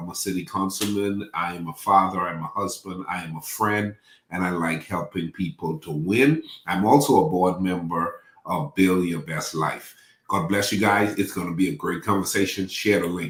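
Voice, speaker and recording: A man with a Bahamian accent and very deep, low pitch, at a moderate pace with ordinary pitch variation. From Bahamas. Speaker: pastor and life coach. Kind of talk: casual chat.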